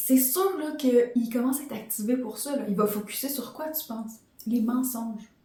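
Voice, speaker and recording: Ordinary pitch variation, with audible room echo. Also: woman. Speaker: podcast host and life coach. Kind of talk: motivational podcast monologue. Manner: fast.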